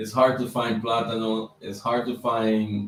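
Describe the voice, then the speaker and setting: With a Dominican accent, a man of medium pitch speaks at a very slow pace. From Dominican Republic. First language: Spanish. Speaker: YouTuber on business credit. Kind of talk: livestream chat. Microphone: mic problems.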